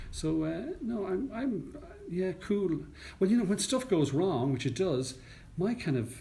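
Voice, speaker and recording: With an Irish accent, a man speaks at a moderate pace in a somewhat breathy voice that swings very widely in pitch. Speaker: news anchor and radio presenter. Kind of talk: interview answer. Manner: calm, composed.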